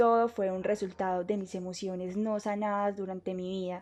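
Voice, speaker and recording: A woman speaks at a moderate speed, with the background quiet. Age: 20s. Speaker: university student. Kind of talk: testimony.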